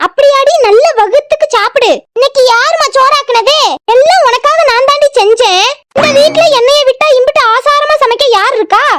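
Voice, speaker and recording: In a cartoonish character voice, a woman speaks at an extremely high pitch with very even loudness, lively intonation and a moderate pace. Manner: sugary, needling.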